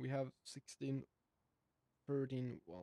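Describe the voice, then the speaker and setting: A non-native accent at a fairly slow pace, the sound dry and close with no echo. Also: man. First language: not English. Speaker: gaming video creator. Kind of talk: gameplay commentary. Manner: halting.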